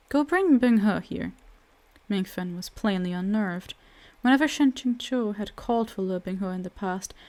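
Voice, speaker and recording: A woman with a medium pitch talks fairly slowly, her pitch varying in an ordinary way. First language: not English. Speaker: audiobook narrator. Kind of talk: reading aloud.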